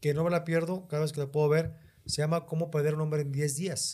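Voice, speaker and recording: This man talks at a fairly quick pace. His tone is dark and mellow. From northern Mexico, Monterrey. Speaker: stand-up comedian. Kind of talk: casual chat.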